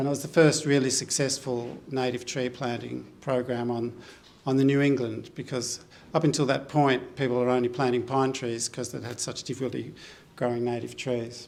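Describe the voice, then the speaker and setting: Audible room echo surrounds a man speaking in an Australian accent at a medium pitch, his intonation monotone and flat. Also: moderate pace. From Australia, northern Victoria (Wangaratta). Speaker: botanist and environmental researcher. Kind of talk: symposium talk. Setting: gallery stage with live audience. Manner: halting, many fillers.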